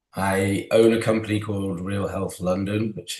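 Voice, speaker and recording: Someone with a British accent talks at a moderate pace. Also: man. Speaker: physiotherapist. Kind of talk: interview.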